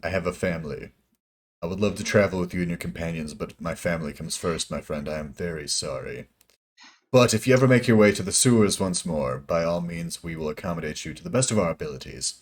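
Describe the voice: Put-on, raspy character voice from a man, very deep and low, delivered at a very fast pace.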